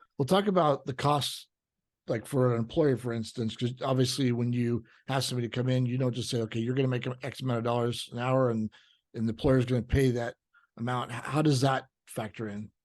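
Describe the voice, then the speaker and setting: With an unremarkable speaking voice, a man talks at a medium pitch with fairly even intonation. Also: fairly quick pace. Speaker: podcast host, insurance agency owner. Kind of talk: podcast interview host.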